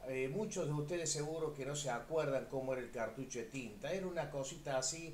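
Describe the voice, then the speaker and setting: In a room with audible echo, a man talks at a fairly quick pace, his fairly high voice showing ordinary pitch variation. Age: 60s. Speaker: physical education teacher. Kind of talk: online class discussion.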